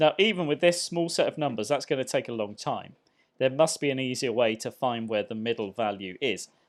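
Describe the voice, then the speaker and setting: With lively intonation and a fairly quick pace, a man talks in a normal speaking voice on a very clean recording with a silent background. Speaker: maths teacher. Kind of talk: tutorial. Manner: conversational.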